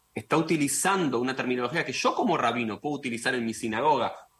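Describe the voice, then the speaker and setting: A man with an ordinary speaking voice speaks at a medium pitch with ordinary pitch variation. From Argentina. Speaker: rabbi and political scientist. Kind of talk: radio interview.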